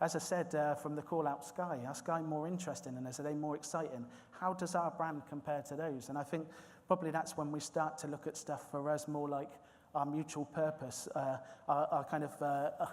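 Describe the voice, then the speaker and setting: A man with a West Country accent talks at a fairly quick pace in a fairly high pitch. His intonation stays flat and monotone. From South West England, Swindon. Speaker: recruitment manager. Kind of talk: conference presentation. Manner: hesitant, many fillers and repetitions.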